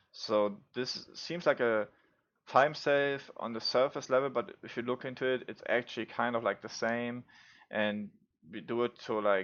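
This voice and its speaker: A man with a non-native accent, fairly even intonation and a moderate pace. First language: not English. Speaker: gaming YouTuber, speedrunner. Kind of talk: gameplay tutorial commentary. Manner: casual, many fillers.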